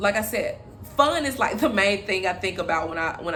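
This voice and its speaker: A woman talks in a bubbly tone with ordinary pitch variation. Room echo is audible. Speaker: relationship vlogger. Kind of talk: casual vlog monologue. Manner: loud, bubbly; halting with many fillers.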